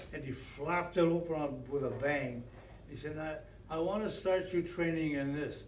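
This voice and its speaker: A man with an American accent, fairly high-pitched, at a moderate pace and with fairly even intonation, amid audible room echo and noticeable background noise. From Western New York. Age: 90s. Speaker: retired football coach and teacher. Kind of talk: interview reminiscence. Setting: at old stadium. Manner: halting, many fillers and repeats.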